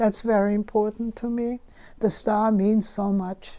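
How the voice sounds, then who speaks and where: A woman with a German accent speaks at a fairly slow pace and medium pitch, her tone dark and mellow and her intonation monotone and flat. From Germany. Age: 90s. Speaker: Holocaust survivor. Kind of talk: interview.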